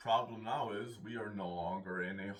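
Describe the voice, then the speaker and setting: A man's fairly low pitch at a fairly slow pace, with audible room echo. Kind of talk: philosophical monologue. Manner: halting.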